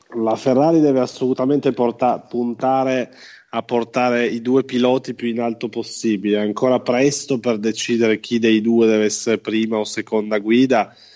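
This man has a medium pitch and a dark, mellow tone, speaking at a moderate pace. His intonation is monotone and flat, and the background is quiet. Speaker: motorsport radio pundit. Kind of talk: casual chat.

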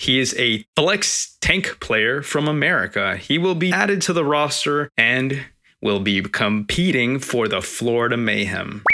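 A man speaks at a fairly slow pace with hardly any pauses, using a normal speaking voice at medium pitch. His intonation is lively and his loudness very even. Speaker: podcast co-host. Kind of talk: casual chat. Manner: joking.

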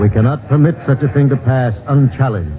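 A man's voice over noticeable background noise. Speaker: villain in a radio drama. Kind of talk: archaic, preacher-like speech with thee and thou. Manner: pompous, sanctimonious oratory.

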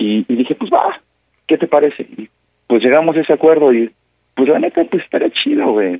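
A man at a fairly high pitch with very wide pitch swings and long, frequent pauses. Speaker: caller. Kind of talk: prank call. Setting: phone call. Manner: halting, many fillers.

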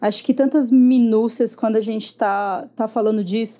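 Against a quiet background, a woman speaks at a moderate pace with fairly even intonation. Her voice is fairly high in pitch, with a dark, mellow tone. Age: 20s. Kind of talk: casual chat.

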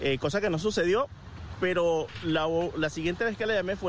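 With a normal speaking voice, a man talks at a fairly quick pace with lively intonation. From Venezuela. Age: 40s. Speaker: motivational speaker. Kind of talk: personal reflection monologue. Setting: outdoors at a beach.

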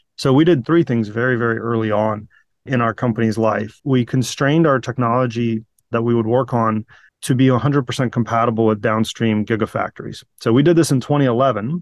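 Man at a fairly quick pace with an ordinary speaking voice, medium pitch and fairly even intonation, dry and close with no echo against a quiet background. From Virginia, US (moved from Ukraine/Russia at nine). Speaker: battery startup CEO and engineer. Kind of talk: interview.

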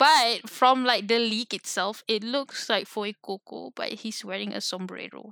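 In a very clean recording with a silent background, a woman with a fairly high, bright, sharp voice and vocal fry speaks fairly slowly with hardly any pauses. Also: ordinary pitch variation, dry, close sound with no echo. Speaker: video game podcast co-host. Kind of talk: casual chat.

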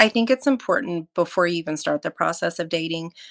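On a very clean recording with a silent background and a dry, close sound with no echo, a woman with a normal speaking voice speaks at a fairly low pitch with lively intonation. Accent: American. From Oklahoma, small town. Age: 40s. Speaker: ER nurse and military veteran. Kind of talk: casual interview chat.

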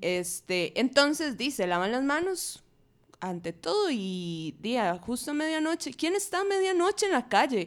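In a Costa Rican accent, a woman speaks at a fairly slow pace in a high pitch with very wide pitch swings, on a very clean recording with a silent background. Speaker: feminist media activist. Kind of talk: casual panel discussion.

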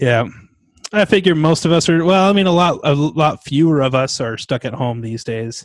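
A plain, everyday voice at a moderate pace, in a very clean recording with a silent background. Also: man, fairly high pitch for a man, lively intonation. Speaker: podcast host. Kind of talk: casual chat.

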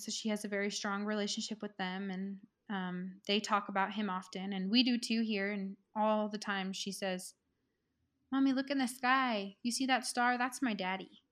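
A woman's voice of medium pitch, an ordinary speaking voice, at a moderate pace with fairly even intonation. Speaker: podcast guest sharing personal story. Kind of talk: testimony.

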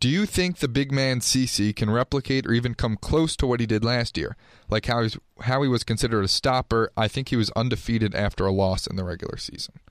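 Very fast speech from a man at medium pitch with ordinary pitch variation, dry, close sound with no echo, very clean recording and silent background. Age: 20s. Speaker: college student, podcast co-host. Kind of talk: casual chat.

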